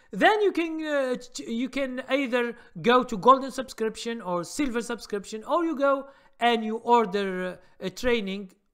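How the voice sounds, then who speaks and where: With a non-native accent, a man talks at a moderate pace in an extremely high pitch, his intonation lively. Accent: foreign. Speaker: stock trading educator. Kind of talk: live stream Q&A. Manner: halting, many fillers.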